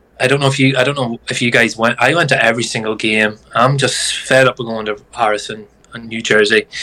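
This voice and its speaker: The speech comes at a very fast pace with fairly even intonation over noticeable background noise. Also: man, medium pitch for a man, hardly any pauses. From Ireland. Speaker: guest football fan. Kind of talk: casual chat.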